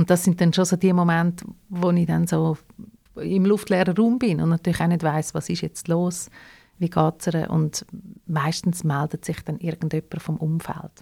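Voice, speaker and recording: A woman with a Swiss accent speaks at a moderate pace in a fairly low, dark and mellow voice that is somewhat breathy, her intonation fairly even. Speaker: radio host and founder of audio legacy project. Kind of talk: interview conversation.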